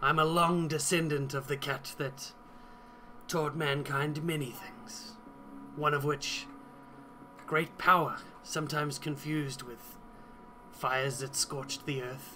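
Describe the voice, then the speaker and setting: In a put-on character voice pitched fairly high, a man speaks at a fairly slow pace with long, frequent pauses over clear background noise. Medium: actual play. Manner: haughty, sly.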